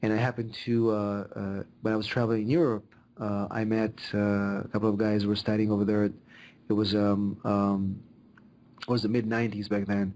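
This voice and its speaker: Delivered at a fairly quick pace, the speech is monotone and flat, in a very clean recording with a silent background. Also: man, fairly low pitch for a man. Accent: Israeli. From Israel. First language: Hebrew. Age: 40s. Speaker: immigration lawyer. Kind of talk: podcast interview. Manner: halting, many fillers.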